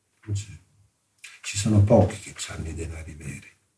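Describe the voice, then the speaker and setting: A man speaks at a moderate pace with a fairly low pitch and ordinary pitch variation. His tone is dark and mellow, and somewhat breathy. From southern Italy, Salerno area. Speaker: art history professor. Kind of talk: interview.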